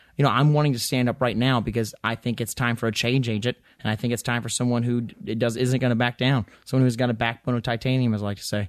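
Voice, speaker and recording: A man's medium-pitched voice with an Appalachian accent, a very fast pace, hardly any pauses and fairly even intonation. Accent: Southern US (Appalachian). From Western North Carolina. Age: 20s. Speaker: congressional candidate. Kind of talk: interview. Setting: studio. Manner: halting, many fillers.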